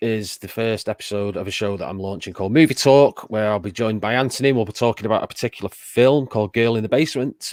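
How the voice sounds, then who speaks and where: A man with a northern English accent at a medium pitch, ordinary pitch variation, a dry, close sound with no echo, and a very clean recording over a silent background. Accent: northern English drawl. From northern England, Macclesfield. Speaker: streamer and show guest. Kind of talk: casual chat.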